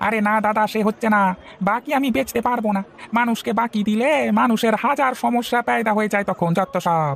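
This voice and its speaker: A cartoonish character voice with a fairly high pitch comes through over clear background noise. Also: moderate pace. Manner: brusque, dismissive.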